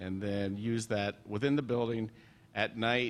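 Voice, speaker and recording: At a fairly slow pace, a man of medium pitch speaks with fairly even intonation. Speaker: forum moderator. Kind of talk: technical explanation. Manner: loud.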